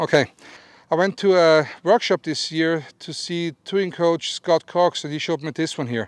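Over a quiet background, a man speaks in an Austrian accent. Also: dry sound with no echo. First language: German. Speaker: golf instructor. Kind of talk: instructional talk to camera. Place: open country. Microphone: lapel.

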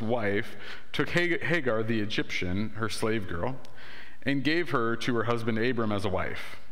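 The man speaks at a moderate pace, his pitch moving in an ordinary way. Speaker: pastor. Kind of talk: sermon scripture reading. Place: church.

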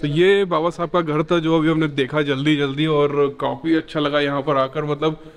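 A man talks at a fairly slow pace in a fairly high pitch, his intonation monotone and flat. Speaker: travel vlogger. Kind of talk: casual vlog talk to camera. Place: home room. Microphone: phone near.

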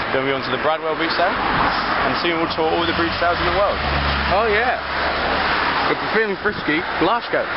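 Loud background noise surrounds a man speaking at a very fast pace. His pitch variation is ordinary, and the sound is dry with no echo. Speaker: amateur vlogger. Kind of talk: casual vlog chat. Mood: joking, sarcastic. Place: street. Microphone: phone near.

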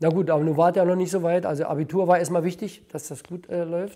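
At a moderate pace, a man speaks in a dark, mellow tone with a high pitch against a quiet background. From Brandenburg, eastern Germany. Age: 70s. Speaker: former IT specialist and privatization official; interviewee. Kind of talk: interview testimony. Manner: halting, with many fillers and repetitions. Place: home room. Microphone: lapel.

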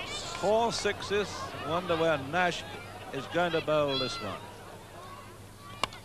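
Noticeable background noise fills the clip. Over it, a man's voice comes through. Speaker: radio cricket commentator. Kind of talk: live commentary, 1960s radio cricket broadcast. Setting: outdoors at the ground, archive broadcast. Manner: excitable, rising in excitement as the sixes mount.

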